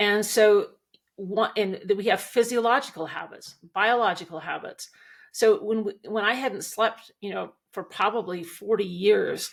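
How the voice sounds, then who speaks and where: A woman's plain, everyday voice with an American accent, fairly high in pitch, with fairly even intonation and a fairly slow pace, on a very clean recording with a silent background. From Montana, US. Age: 60s. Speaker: equine coach, former rancher and attorney. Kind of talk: interview.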